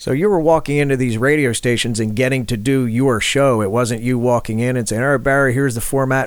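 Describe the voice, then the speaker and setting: Over noticeable background noise, a man with an American accent talks at a fairly quick pace with fairly even intonation. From Philadelphia, US. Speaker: podcast host. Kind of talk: podcast hosting.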